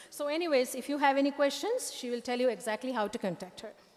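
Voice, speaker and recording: A woman at a very fast pace, high-pitched with ordinary pitch variation, over noticeable background noise. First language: not English. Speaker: event host and magazine editor. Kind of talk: live event speech.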